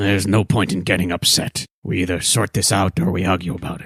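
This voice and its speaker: A man puts on a raspy character voice with a very deep, low pitch and fairly even intonation. He goes at a fairly quick pace in a dry, close sound with no echo. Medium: actual play. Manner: blunt, matter-of-fact.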